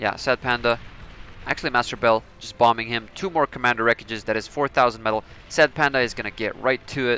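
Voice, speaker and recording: Music plays in the background as a man at a medium pitch talks at a very fast pace, with a dry, close sound and no echo. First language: Serbian. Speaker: gaming commentator. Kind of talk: live game commentary. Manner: animated.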